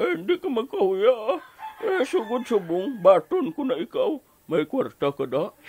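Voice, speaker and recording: Delivered at a fairly slow pace, this put-on character voice leaps through very wide pitch swings, recorded dry and close with no echo. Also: man, extremely high pitch for a man. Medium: audio drama. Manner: gruff.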